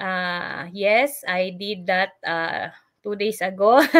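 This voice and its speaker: A quiet background behind a woman's voice. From Philippines. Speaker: online business mentor and nurse. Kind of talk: live stream sales pitch. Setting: live stream. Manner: halting. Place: home room. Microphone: webcam.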